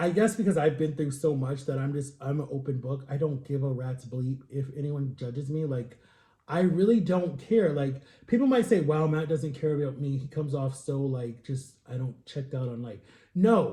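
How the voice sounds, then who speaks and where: The man's voice is somewhat breathy, with a dark, mellow tone. It sits fairly high in pitch and shows ordinary pitch variation. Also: moderate pace. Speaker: vlogger. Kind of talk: casual vlog monologue.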